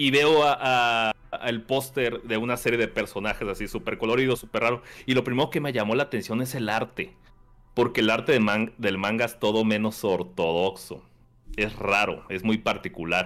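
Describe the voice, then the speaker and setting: In a central Mexican accent, a man speaks at a moderate pace with a medium pitch and ordinary pitch variation on a very clean recording with a silent background. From Mexico, Querétaro. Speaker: podcast guest, anime and manga fan. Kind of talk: casual chat.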